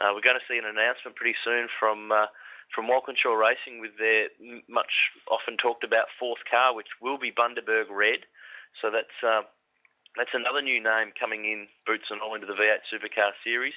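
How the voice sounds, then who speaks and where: An Australian-accented man at a fairly quick pace, with monotone, flat intonation. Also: medium pitch for a man. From Victoria, Australia. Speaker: motorsport commentator. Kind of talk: casual interview chat.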